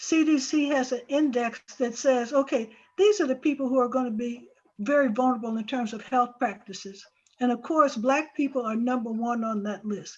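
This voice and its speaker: A woman with a high pitch talks at a moderate pace, her pitch varying in an ordinary way. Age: 70s. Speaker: psychologist elder. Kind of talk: panel discussion.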